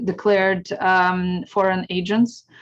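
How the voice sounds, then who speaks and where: A woman speaks with a Ukrainian accent. Her pace is very slow. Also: quiet background. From Ukraine. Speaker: historian and speaker. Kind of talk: Q&A answer in an educational talk. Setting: video call.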